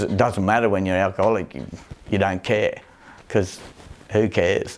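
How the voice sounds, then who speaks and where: In a strong Australian accent, a man speaks in a flat monotone on a very clean recording with a silent background. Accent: broad Australian. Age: 60s. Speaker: recovering alcoholic and rodeo rider. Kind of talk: documentary interview testimony.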